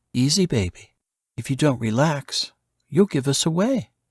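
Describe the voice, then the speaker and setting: Putting on a character voice, a man speaks at a moderate pace with a fairly high pitch and lively intonation. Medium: read story. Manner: whispering, teasing.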